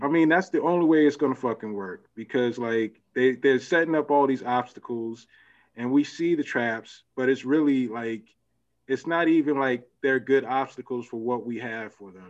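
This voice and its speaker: A man talks at a moderate pace in a normal speaking voice, with ordinary pitch variation. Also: medium pitch for a man. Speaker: panelist and YouTube commentator. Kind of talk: casual panel discussion.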